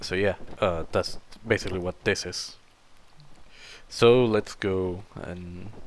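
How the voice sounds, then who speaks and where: With a non-native accent, a man speaks very slowly at a very deep, low pitch, with fairly even intonation, big swings in loudness and long, frequent pauses. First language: not English. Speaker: gaming video creator. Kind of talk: let's play commentary. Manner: halting, many fillers.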